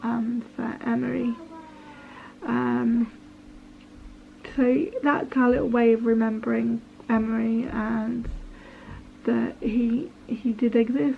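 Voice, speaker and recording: A woman with an English accent and a fairly high pitch speaks at a very slow pace with fairly even intonation and long, frequent pauses over noticeable background noise. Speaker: vlogger. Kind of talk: personal testimony. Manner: halting, hesitant.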